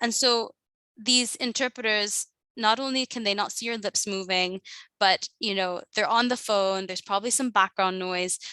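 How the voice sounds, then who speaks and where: Bright, sharp tone with fairly even intonation, dry and close with no echo, in a very clean recording with a silent background. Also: woman, fairly high pitch for a woman. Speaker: nonprofit partnerships manager giving a training. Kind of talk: training presentation. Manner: fast; mumbling.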